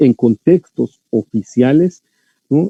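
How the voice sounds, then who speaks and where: With a Yucatán accent, a man speaks at a very slow pace, his medium-pitched voice carrying lively intonation. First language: Yucatec Maya (speaking Spanish). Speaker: linguistics scholar lecturing on language rights. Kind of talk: lecture. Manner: hesitant, many fillers and repetitions.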